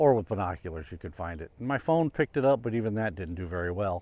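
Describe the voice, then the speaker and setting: Very fast speech comes from a man with lively intonation. The background is quiet. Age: 60s. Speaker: photography vlogger. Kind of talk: casual vlog talk to camera. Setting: outdoors. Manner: halting, many fillers.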